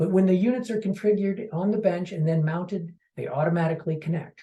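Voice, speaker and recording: The man's voice is high in pitch, with a dark, mellow tone and ordinary pitch variation. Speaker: marketing executive. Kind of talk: product presentation. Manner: fast.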